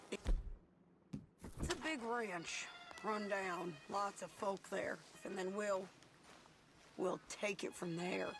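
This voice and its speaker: Delivered at a very slow pace, a raspy put-on character voice comes through clear background noise. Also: woman, medium pitch for a woman. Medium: video game. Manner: terse, commanding.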